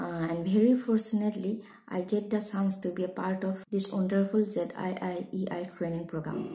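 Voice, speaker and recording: Her pace is moderate, with hardly any pauses. The woman's intonation is monotone and flat. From Assam, India (Sivasagar); Assam, India. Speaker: school teacher. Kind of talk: prepared testimonial talk. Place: home room. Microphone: phone near.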